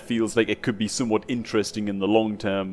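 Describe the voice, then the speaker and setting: A man with a northeast English accent talks at a fairly quick pace. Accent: northeast English (Geordie-type). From northeast England. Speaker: gaming youtuber. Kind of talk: casual chat. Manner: animated.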